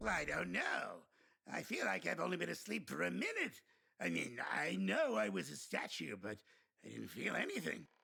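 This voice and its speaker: A man puts on a raspy character voice. He talks at a moderate pace. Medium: video game. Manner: loud, blustering and self-important.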